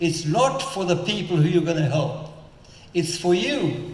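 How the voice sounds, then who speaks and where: Moderate-paced, high-pitched male voice amid noticeable background noise and audible room echo. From South Africa. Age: 90s. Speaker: entrepreneur and philanthropist. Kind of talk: on-stage interview. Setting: stage with audience.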